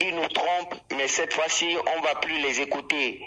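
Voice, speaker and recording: Fairly slow, fairly even speech from a man with a fairly high pitch, against noticeable background noise. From Togo. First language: Ewe (speaking French). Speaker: rapper. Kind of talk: radio interview.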